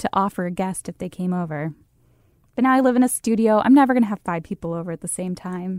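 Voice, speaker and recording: With a plain, everyday voice, a woman speaks at a fairly quick pace with lively intonation in a dry, close sound with no echo. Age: 30s. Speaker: podcast host. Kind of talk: casual chat. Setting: studio.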